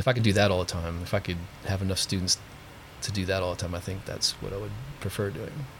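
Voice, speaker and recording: Very fast and somewhat breathy, a man speaks at a very deep, low pitch with fairly even intonation. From Pennsylvania. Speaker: guitar teacher. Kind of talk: casual chat.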